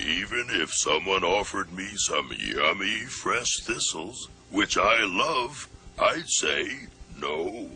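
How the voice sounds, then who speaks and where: A man does a cartoonish character voice at a very slow pace. Clear background noise is audible. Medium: puppet show. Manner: slow, glum, droning.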